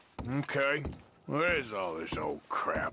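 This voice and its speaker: A put-on character voice from a man, raspy and fairly high-pitched, at a fairly slow pace. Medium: video game. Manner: laconic.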